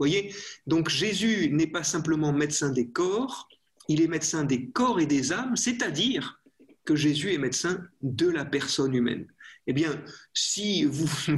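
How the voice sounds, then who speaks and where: A man's fairly high voice with lively intonation and a fairly slow pace. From France. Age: young. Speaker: priest, physician and professor. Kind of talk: interview about faith and medicine.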